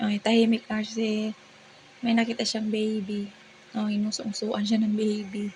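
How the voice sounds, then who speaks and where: A woman in a Visayan accent, fairly high in pitch, monotone and flat, at a fairly slow pace. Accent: Visayan accent in Tagalog, sounds angry-ish. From Visayas, Philippines. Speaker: family vlogger. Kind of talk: voice-over narration. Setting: home, early morning voice-over.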